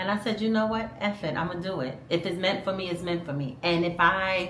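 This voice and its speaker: An animated woman with an American accent, amid noticeable background noise and audible room echo. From New York, Brooklyn. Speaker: vlogger. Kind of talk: casual chat.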